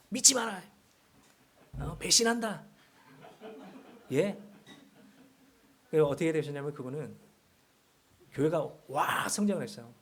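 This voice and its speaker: A man's fairly high voice with lively intonation and audible room echo. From Seoul. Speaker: guest preacher. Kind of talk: sermon.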